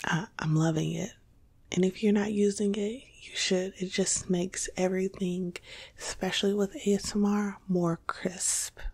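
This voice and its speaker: Soft-spoken and somewhat breathy, a woman talks fairly slowly. Her tone is calm. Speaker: ASMR content creator. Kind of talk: casual talk to camera, informational ASMR video. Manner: soft-spoken, calm. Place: home room.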